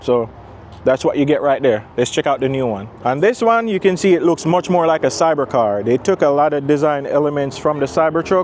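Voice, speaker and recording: A man talks at a fairly quick pace in a normal speaking voice, his pitch fairly high and his intonation lively. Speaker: car reviewer. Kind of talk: product walkaround review.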